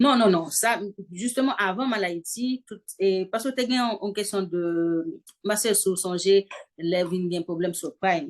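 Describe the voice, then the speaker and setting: Female voice at medium pitch, a normal speaking voice, with lively intonation and a fairly slow pace. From Haiti. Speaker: fashion designer and singer. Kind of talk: interview answer. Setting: home video call with background noise.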